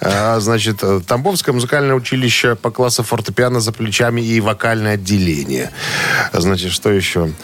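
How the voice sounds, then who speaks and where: Over noticeable background noise, a man talks at a moderate pace and medium pitch, with ordinary pitch variation and very even loudness. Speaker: radio host. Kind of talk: casual chat. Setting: studio.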